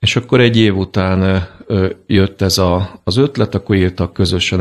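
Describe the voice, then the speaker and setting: A man talks at a fairly slow pace with fairly even intonation. His pitch is very deep and low. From Hungary, Sopron. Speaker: land surveyor and prison minister. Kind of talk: radio interview. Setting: studio. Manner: hesitant, many fillers.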